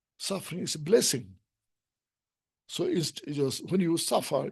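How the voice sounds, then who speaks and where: A man with a Tibetan accent speaks at a fairly high pitch, his lively intonation mixed with vocal fry. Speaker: Buddhist teacher. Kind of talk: dharma teaching. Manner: halting.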